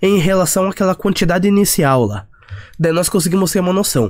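A man's high-pitched voice moves at a fairly quick pace. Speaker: finance YouTuber. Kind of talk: tutorial. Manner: hesitant with fillers.

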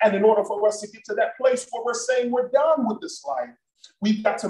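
A man speaks in an animated tone. Music plays in the background, and the room echo is audible. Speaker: pastor. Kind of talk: sermon and prayer at a church Bible study, preacher in full flow, call-and-response. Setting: church with a congregation, also streamed online. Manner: animated, fervent, rhythmic preaching with exhortations to the congregation. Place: church. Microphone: video call.

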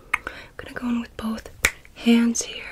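Loud background noise behind a woman's moderately paced speech. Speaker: ASMR creator. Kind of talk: soft-spoken ASMR personal attention. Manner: soft, breathy ASMR murmur. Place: home room.

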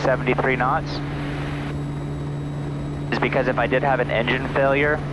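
The man's voice sounds dry with no echo, while loud background noise fills the clip. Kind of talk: casual vlog chat. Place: plane. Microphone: headset.

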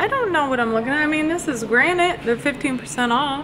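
A woman's voice with clear music in the background. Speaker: vlogger. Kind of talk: casual vlog chat. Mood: unsure, mildly overwhelmed. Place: shop. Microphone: phone near.

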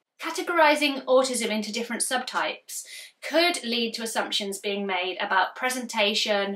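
In a British accent, a woman speaks at a moderate pace with a fairly high pitch and lively intonation. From UK. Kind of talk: educational explainer video. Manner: loud. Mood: warm, empathetic. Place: home room.

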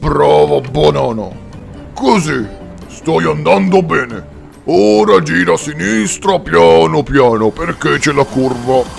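Over clear music in the background, a man uses a put-on character voice at a medium pitch, with very wide pitch swings and a fairly slow pace. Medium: audio drama.

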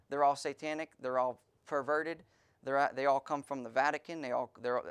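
Over a quiet background, a man speaks at a fairly quick pace in a monotone, flat intonation. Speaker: pastor preaching. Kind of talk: sermon.

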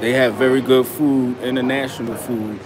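A man speaks at a moderate pace with a medium pitch and a slightly mellow tone. His intonation stays fairly even over faint background noise.

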